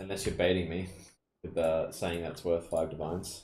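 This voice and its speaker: A man talks very fast in an Australian accent, his voice very deep and low. It is somewhat breathy, with audible room echo. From Australia (Perth). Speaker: video game streamer. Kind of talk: casual chat.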